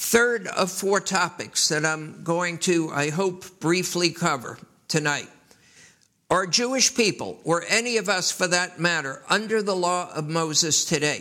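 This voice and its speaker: A man with a high pitch and a bright, sharp tone speaks fairly slowly, with ordinary pitch variation. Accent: American. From US Northeast, New York City. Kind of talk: sermon.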